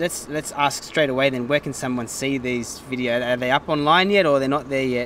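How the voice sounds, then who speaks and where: Talking at a fairly quick pace with hardly any pauses, a man with a strong Sydney accent is heard over noticeable background noise. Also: medium pitch for a man. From Sydney, Australia. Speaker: music show presenter. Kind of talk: casual interview. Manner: animated.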